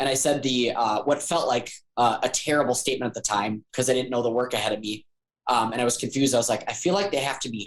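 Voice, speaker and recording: A man talks at a fairly quick pace in a medium pitch. His pitch variation is ordinary. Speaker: life coach. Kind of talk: casual chat.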